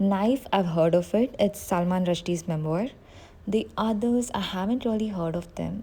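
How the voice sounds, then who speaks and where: Her tone is dark and mellow, and somewhat breathy, at a medium pitch. The woman moves at a moderate pace with ordinary pitch variation. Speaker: book youtuber. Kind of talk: casual vlog talk.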